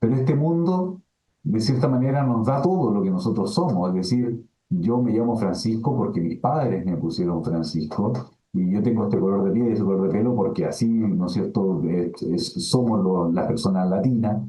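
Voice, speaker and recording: In a Chilean accent, the speaker moves through very wide pitch swings at a moderate pace and very even loudness, with music in the background. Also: man, medium pitch for a man. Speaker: philosophy professor. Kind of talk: webinar lecture answering questions. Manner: filler-heavy, hesitant (eh, ¿no es cierto?).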